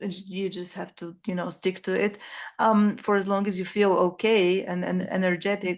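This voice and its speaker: The background is quiet as a woman talks at medium pitch. She keeps a fairly slow pace. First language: not English. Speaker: podcast host, online writing coach. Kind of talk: interview conversation. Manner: halting, many fillers.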